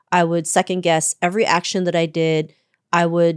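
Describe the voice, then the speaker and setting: A woman with a Canadian accent has a normal speaking voice, a fairly low pitch and a moderate pace. The recording is very clean with a silent background, and the sound is dry and close with no echo. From Canada, Toronto. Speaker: author and keynote speaker. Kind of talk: interview.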